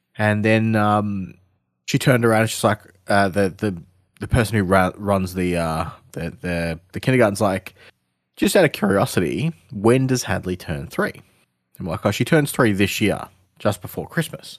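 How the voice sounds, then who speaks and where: In an Australian accent, a man talks at a moderate pace and a fairly low pitch. The recording is very clean, with a silent background. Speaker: gaming podcast co-host. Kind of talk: casual chat.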